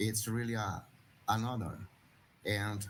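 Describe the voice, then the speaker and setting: This man talks at a very slow pace in a Portuguese accent, his pitch medium. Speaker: religious brother and school director. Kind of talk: panel talk.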